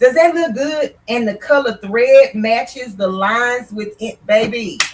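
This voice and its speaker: This woman's voice sits fairly high. Her tone is animated. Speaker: sewing instructor. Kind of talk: live-stream sewing tutorial. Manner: loud.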